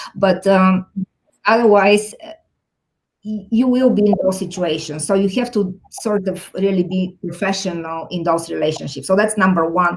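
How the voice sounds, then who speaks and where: Somewhat breathy, a woman talks at a moderate pace and medium pitch with ordinary pitch variation. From Bulgaria. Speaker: technology executive. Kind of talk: interview.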